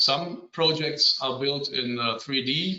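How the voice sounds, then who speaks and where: This man's voice sits at a fairly high pitch with fairly even intonation. He speaks with a German accent. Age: 50s. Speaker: civil engineer. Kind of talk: conference presentation. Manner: halting.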